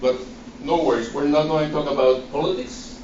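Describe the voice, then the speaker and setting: With a strong Guatemalan accent, a man talks at a fairly high pitch, with audible room echo and noticeable background noise. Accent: thick Guatemalan Spanish. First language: Spanish. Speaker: nonprofit director. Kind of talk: presentation.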